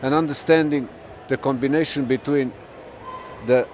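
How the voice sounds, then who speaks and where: Noticeable background noise sits behind a man who speaks at a moderate pace, his fairly high-pitched voice keeping fairly even intonation. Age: 60s. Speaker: fitness trainer, endurance lifting record holder. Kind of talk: interview answer.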